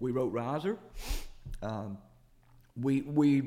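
The speaker is a man. He talks in a Southern US accent. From US South, Jackson, Mississippi. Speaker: singer-songwriter. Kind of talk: interview.

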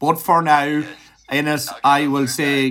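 A man with an Irish accent at a fairly slow pace, on a very clean recording with a silent background. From Ireland. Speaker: music podcast interviewer. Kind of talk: interview. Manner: animated.

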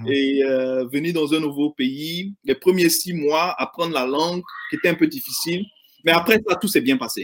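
A high-pitched man speaks at a moderate pace with lively intonation. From Ivory Coast (Abidjan). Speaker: insurance agent. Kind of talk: interview. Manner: hesitant, with many fillers.

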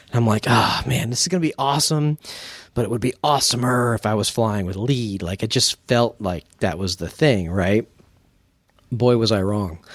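Heard dry and close with no echo, a man with an unremarkable speaking voice talks at a medium pitch and moderate pace, his intonation lively. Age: 40s. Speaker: podcast co-host, student pilot. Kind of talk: casual chat.

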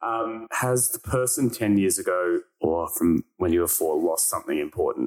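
A man with an Australian accent talks at a moderate pace with hardly any pauses. The sound is dry and close, with no echo. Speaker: podcast host. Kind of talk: casual chat; scripted narration.

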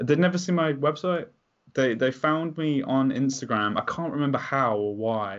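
Here a man with an English accent talks at a moderate pace. His voice sits fairly high, with ordinary pitch variation. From England. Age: 20s. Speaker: music photographer hosting Q&A sessions. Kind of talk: casual chat. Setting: video call.

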